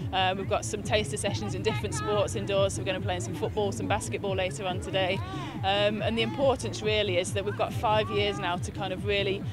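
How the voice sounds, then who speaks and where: A woman talks at a very fast pace in a dry, echo-free sound, with clear music playing behind her. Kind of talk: interview answer. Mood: upbeat, happy. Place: stadium.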